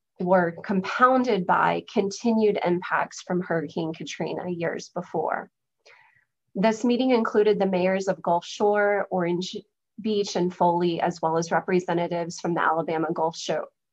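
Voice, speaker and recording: Over a quiet background, a woman talks at a moderate pace. Her pitch varies in an ordinary way. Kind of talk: lecture. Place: home room. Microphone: webcam.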